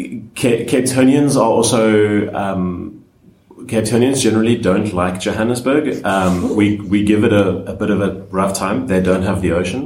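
Noticeable background noise runs under this recording. A man with a fairly low voice speaks at a moderate pace with ordinary pitch variation. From South Africa, Cape Town. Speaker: DevOps engineer and conference organizer. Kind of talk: panel discussion. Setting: conference venue.

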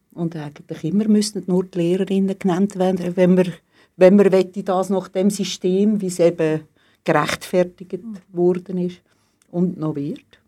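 Speaking at a fairly slow pace, a woman with a medium-pitched, dark and mellow tone keeps a flat, monotone intonation while her loudness swings widely, on a very clean recording with a silent background. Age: 60s. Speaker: teacher. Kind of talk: casual interview.

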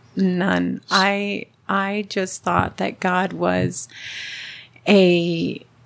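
Speaking very slowly with a Spanish accent, a woman leaves long, frequent pauses. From Southern California, Mexican-American family. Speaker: churchgoer sharing her conversion. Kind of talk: testimony.

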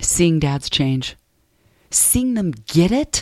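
A woman's plain, everyday voice, fairly low-pitched with lively intonation, in a very clean recording with a silent background and a dry, close sound with no echo. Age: 50s. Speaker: professional counselor and speaker. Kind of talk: interview. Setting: studio. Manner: soft-spoken.

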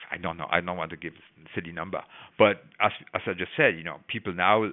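A man's very deep, low voice at a fairly quick pace. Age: 60s. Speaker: biology professor. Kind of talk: interview.

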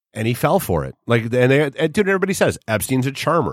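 Vocal fry from a man with an American accent, very wide pitch swings, and a very clean recording over a silent background. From New Hampshire, US. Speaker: studio producer. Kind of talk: casual chat. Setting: studio.

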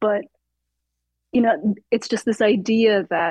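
Somewhat breathy, a woman speaks at a moderate pace and a fairly high pitch. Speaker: writer. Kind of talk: in-depth interview. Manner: halting with many fillers and repetitions.

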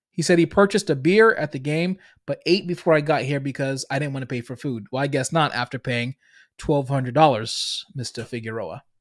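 In a very clean recording with a silent background, a man with a Boston accent speaks at a fairly high pitch with ordinary pitch variation. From Boston, US Northeast. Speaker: business podcast host and coach. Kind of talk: solo monologue, business talk. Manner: filler-heavy, conversational.

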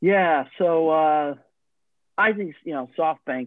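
An unremarkable speaking voice from a man with an American accent, fairly high in pitch, with ordinary pitch variation. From Long Island, New York. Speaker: podcast host. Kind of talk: casual chat.

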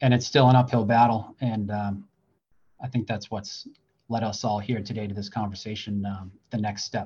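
A man's medium-pitched voice in a flat monotone, against a quiet background. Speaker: deputy fire chief. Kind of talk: panel discussion. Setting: at work, fire station with radio.

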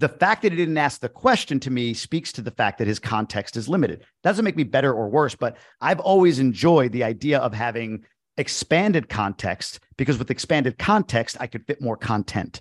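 A man speaks with lively intonation against a quiet background. The sound is dry and close, with no echo. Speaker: investor and podcast host. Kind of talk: interview. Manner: fast; high energy.

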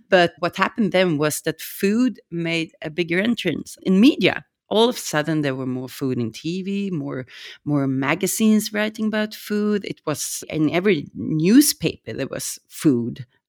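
In a Swedish accent, a woman speaks at a moderate pace with a fairly low pitch and very wide pitch swings. The recording is very clean with a silent background and a dry, close sound with no echo. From Sweden. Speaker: restaurant owner. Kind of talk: casual chat.

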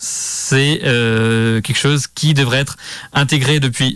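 Medium in pitch, a man speaks at a very slow pace. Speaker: radio host. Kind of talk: solo radio show on LGBTQIA+ vocabulary. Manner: hesitant, many fillers.

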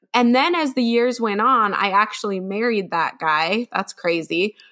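A woman speaks with a bright, sharp tone and ordinary pitch variation. The recording is very clean, with a silent background. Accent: American. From Utah. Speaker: children's author and podcast co-host. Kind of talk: casual chat.

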